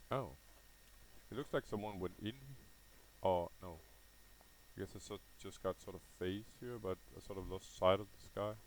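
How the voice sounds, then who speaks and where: A man's fairly low voice at a moderate pace, with ordinary pitch variation, big swings in loudness and long, frequent pauses. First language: not English (says no as 'Nai'). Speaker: gaming video creator. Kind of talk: live gameplay commentary. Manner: casual with frequent fillers and hesitations.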